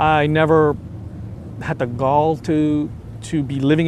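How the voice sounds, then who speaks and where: A man with a fairly high voice talks while noticeable noise carries on in the background. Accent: Spanish. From Venezuela. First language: Spanish. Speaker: convert to Islam. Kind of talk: testimony. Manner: halting, many fillers.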